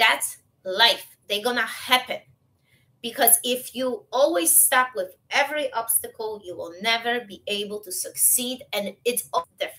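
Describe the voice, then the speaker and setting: A woman with a non-native accent and a bright, sharp tone, a fairly slow pace, ordinary pitch variation and big swings in loudness. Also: fairly high pitch for a woman. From Europe, foreign-born. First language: not English. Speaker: motivational coach. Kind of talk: motivational talk. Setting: live video stream. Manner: animated. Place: home room. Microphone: webcam.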